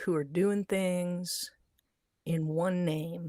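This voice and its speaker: A woman with a dark, mellow tone speaks at a very slow pace. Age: 50s. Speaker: online commentator. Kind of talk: live stream monologue. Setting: livestream. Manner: halting.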